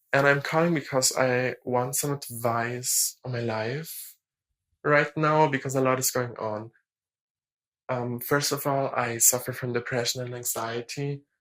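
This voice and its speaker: The speaker uses a German accent and a fairly slow pace. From Germany. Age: young. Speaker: caller. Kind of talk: voicemail call.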